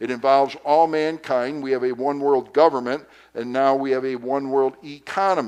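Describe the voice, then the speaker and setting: A man speaks in an ordinary speaking voice at a moderate pace. His intonation is fairly even. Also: medium pitch for a man. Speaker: pastor. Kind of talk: Sunday school lesson.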